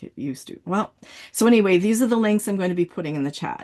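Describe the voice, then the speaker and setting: The background is quiet. A woman speaks with lively intonation. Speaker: writing coach. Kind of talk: online workshop. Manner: fast; animated.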